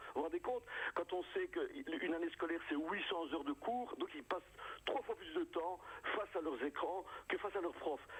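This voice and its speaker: This man speaks at an average speed against clearly audible background noise. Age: 60s. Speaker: comedian. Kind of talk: radio interview. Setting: phone call. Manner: animated.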